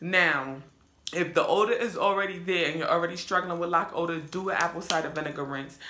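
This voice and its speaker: A woman's fairly low voice at a very fast pace, ordinary pitch movement, and noticeable background noise. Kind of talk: casual hair tutorial talk to camera. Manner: relaxed, conversational.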